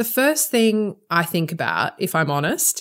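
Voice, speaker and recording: At a moderate pace, a woman with an Australian accent speaks with very wide pitch swings. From Australia (Sydney). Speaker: podcast host and lawyer. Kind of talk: interview.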